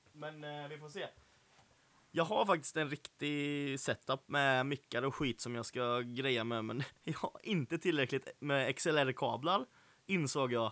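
On a very clean recording with a silent background and a dry, close sound with no echo, a man with a fairly high pitch and a bright, sharp tone talks at a fairly slow pace. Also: ordinary pitch variation. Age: 20s. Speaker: podcast host. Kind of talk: casual chat.

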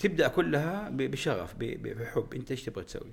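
Fairly high male voice with very wide pitch swings and vocal fry. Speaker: aerospace engineer and company executive. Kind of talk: interview conversation. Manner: halting with repetitions; frequent English code-switching.

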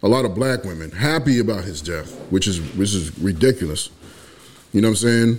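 Speaking at a fairly quick pace, this man has an ordinary speaking voice. His pitch is fairly low, and his intonation is lively. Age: 40s. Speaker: podcast co-host. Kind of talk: casual chat.

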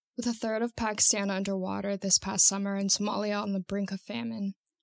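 The woman talks at a fairly quick pace in a medium pitch. The sound is dry and close, with no echo. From Santa Cruz, California. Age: 20s. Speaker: farmer and land advocacy fellow. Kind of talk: reading aloud.

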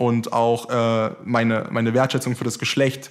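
A man speaks at a moderate pace in a medium pitch. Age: 20s. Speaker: podcast host. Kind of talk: casual interview chat.

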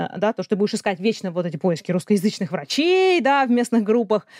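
A woman at medium pitch, very fast and with lively intonation, on a very clean recording with a silent background. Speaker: science popularizer and journalist. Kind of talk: interview.

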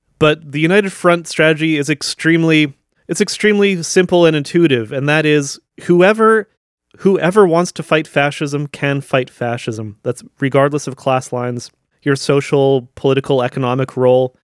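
With a Canadian Prairie accent, a man speaks at a moderate pace with a fairly high pitch and ordinary pitch variation, in a very clean, dry, close recording with a silent background and no echo. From southern Manitoba, Canada. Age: 40s. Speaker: podcaster. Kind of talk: solo commentary podcast. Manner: hesitant, many fillers.

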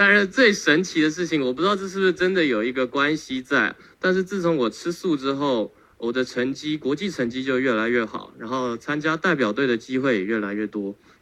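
Lively intonation marks this man's fairly high-pitched voice. His tone is bright and sharp, and his pace fairly quick. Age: 20s. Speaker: tai chi athlete. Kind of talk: testimony.

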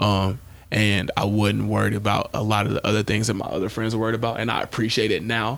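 A man's fairly low, monotone voice with flat intonation and vocal fry, at a very fast pace. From Shreveport, Louisiana, US South. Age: 20s. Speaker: former professional football player and entrepreneur. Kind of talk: casual interview chat.

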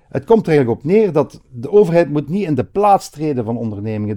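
Over a quiet background, a man talks at a fairly quick pace in a dark, mellow tone. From Belgium, Hasselt (Limburg). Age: 50s. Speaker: politician. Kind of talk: interview.

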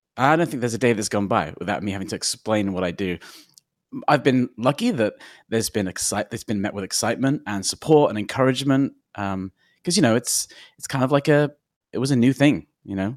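Recorded very cleanly with a silent background and a dry, close sound with no echo, a man with a London accent talks fairly quickly at a medium pitch with lively intonation. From London, England. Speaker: technology consultant. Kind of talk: interview.

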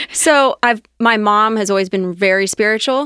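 In a very clean recording with a silent background and a dry, close sound with no echo, a woman with an American accent uses a plain, everyday voice at medium pitch with ordinary pitch variation. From Ohio, Cincinnati area. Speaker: restaurant company executive. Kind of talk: interview conversation.

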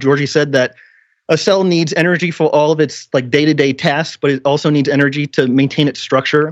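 A man's unremarkable speaking voice at a fairly high pitch and a moderate pace. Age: 30s. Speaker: health podcaster and coach. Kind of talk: casual interview.

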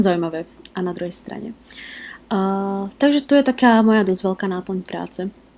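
At a moderate pace, a woman with medium pitch and a dark, mellow tone speaks with ordinary pitch variation and big swings in loudness. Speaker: blogger and expat working in Japan. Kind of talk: interview.

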